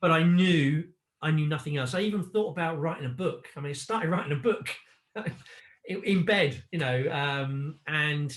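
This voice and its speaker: Fairly high in pitch and somewhat breathy, a man's voice shows ordinary pitch variation. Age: 50s. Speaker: online business owner, former corporate salesman. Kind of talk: interview answer.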